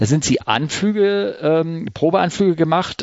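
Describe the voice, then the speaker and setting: This is a man speaking at a fairly high pitch. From Hamburg, northern Germany. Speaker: podcast host, hobby pilot. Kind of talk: casual interview. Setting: home studio. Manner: halting, many fillers.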